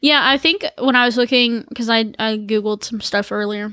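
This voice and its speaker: The speaker has a Southern US accent and a bright, sharp tone. Delivery is at a moderate pace with fairly even intonation on a very clean recording with a silent background. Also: woman. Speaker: podcast co-host. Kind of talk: casual chat.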